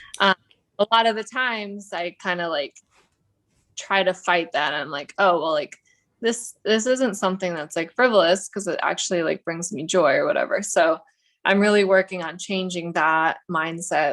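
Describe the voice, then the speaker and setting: In an ordinary speaking voice, a woman with an American accent talks at a moderate pace and medium pitch, with ordinary pitch variation. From Russia, moved to US as child. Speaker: realtor. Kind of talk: casual interview chat.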